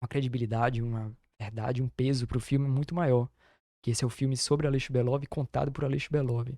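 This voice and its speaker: A very fast man's voice, dark and mellow in tone, monotone with flat intonation. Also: dry, close sound with no echo, very clean recording, silent background. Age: young. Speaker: documentary filmmaker. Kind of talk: interview.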